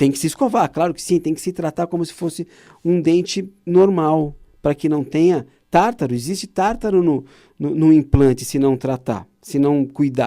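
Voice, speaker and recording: A man talks in a dark, mellow tone with ordinary pitch variation. The recording is very clean, with a silent background. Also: fairly high pitch for a man, moderate pace. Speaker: oral surgeon, TV show host. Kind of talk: informative talk to viewers. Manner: animated; hesitant, repeating words.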